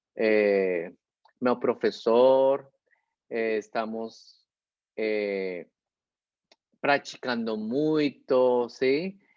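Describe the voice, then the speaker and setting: This man speaks with a Spanish accent at a medium pitch and ordinary pitch variation. His pace is very slow, with long, frequent pauses. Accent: Spanish-speaker accent in Portuguese. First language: Spanish (speaking Portuguese). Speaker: lecturer. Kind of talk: closing remarks. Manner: halting.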